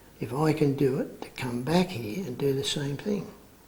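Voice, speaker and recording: A man with an Australian accent, fairly high-pitched, ordinary pitch variation, moderate pace, audible room echo and noticeable background noise. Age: 60s. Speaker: men's group facilitator. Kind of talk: interview testimony. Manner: halting.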